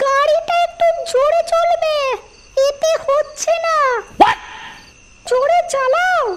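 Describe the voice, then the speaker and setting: A cartoonish character voice from a woman, extremely high-pitched with very wide pitch swings, at a very slow pace. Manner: sarcastic.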